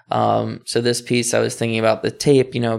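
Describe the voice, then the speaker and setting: Someone with an American accent is heard on a very clean recording with a silent background. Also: man. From Dundalk, Maryland (Baltimore area). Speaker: artist and art professor. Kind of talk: casual interview.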